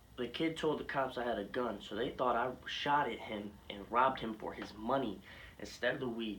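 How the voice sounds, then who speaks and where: At a moderate pace and medium pitch, a man talks with fairly even intonation, audible room echo and noticeable background noise. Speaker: YouTuber telling personal story. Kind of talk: casual story time. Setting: garage. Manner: stuttering, halting. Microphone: poor camera quality.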